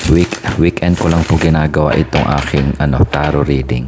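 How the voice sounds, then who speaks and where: A soft-spoken man with a very deep, low pitch talks against noticeable background noise. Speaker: tarot reader. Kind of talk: casual chat.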